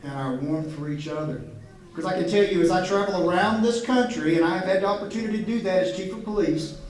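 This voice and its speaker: Amid noticeable background noise and audible room echo, a man with a slight Appalachian accent talks with ordinary pitch variation. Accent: slight Appalachian twang. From Southwest Virginia mountains. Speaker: police chief. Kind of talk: public speech. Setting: stage with audience. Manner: halting.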